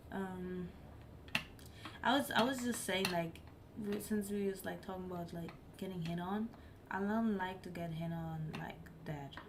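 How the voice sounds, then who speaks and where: There is audible room echo and noticeable background noise. A woman speaks with ordinary pitch variation. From Germany. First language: not English (English is her third language). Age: 20s. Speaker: live streamer. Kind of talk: casual chat. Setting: live stream.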